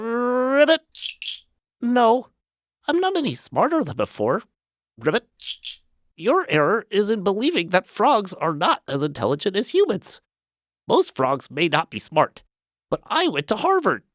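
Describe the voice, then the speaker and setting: In a put-on character voice, a man speaks croakily at a high pitch with very wide pitch swings, a fairly slow pace, and long, frequent pauses. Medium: audio drama. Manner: punctuates speech with croaking ribbits.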